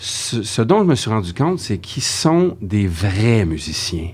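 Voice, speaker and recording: A man talks at a very slow pace, his pitch swinging very widely. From Quebec, Saguenay. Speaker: voice actor. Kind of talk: casual chat.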